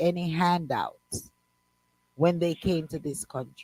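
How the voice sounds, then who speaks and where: Animated and bright, with a sharp tone, the voice moves at a fairly slow pace in a dry, close sound with no echo. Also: woman. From Jamaica. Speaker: radio show co-host. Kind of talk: heated debate.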